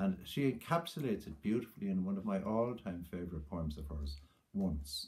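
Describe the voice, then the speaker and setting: A man with an Irish accent speaks in a very deep, low pitch, somewhat breathy. His intonation is lively against a quiet background. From Ireland. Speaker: poet. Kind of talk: tribute talk then poem reading aloud. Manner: measured, reflective, warm; lyrical, slow, hushed reading of the poem. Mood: warm, reflective remembrance. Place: home room. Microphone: webcam.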